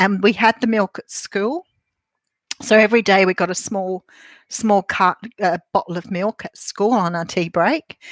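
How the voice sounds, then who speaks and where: Speaking with an Australian accent, a woman keeps a moderate pace and ordinary pitch variation. The sound is dry and close with no echo, on a very clean recording with a silent background. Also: medium pitch for a woman. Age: 60s. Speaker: tarot reader. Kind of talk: casual vlog with tarot card reading. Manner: chatty, rambling with fillers.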